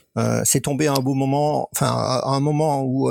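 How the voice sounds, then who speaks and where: Noticeable background noise surrounds this man. He talks at a moderate pace. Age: 60s. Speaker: member of a men's contraception collective. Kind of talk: interview. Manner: halting.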